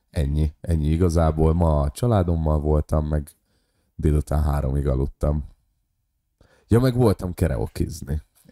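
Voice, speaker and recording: A man's very deep, low pitch with a dark, mellow tone, very even loudness, long, frequent pauses and a dry, close sound with no echo. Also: ordinary pitch variation, fairly slow pace, very clean recording, silent background. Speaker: podcast co-host and stand-up comedian. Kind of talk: casual chat.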